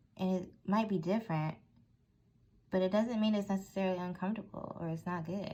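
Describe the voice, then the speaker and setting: Somewhat breathy and with a dark, mellow tone, a woman talks at a fairly quick pace with fairly even intonation. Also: medium pitch for a woman. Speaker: tarot reader. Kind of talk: tarot reading monologue.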